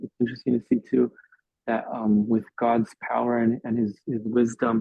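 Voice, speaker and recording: A man talks fairly slowly. His voice sits at a medium pitch. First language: English (speaking Spanish). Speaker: youth Bible study teacher. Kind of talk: Bible study discussion. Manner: hesitant, many fillers.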